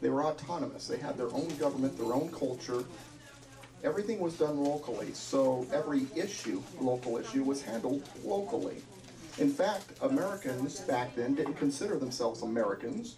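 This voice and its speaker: With a fairly high pitch and lively intonation, a man speaks at a moderate pace and very even loudness, while audible room echo and noticeable background noise fill the recording. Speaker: constitutional speaker. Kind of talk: lecture.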